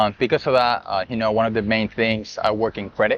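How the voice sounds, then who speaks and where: A man with a fairly low pitch speaks at a very fast pace. Noticeable background noise is present. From Colombia. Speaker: credit specialist. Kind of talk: casual interview.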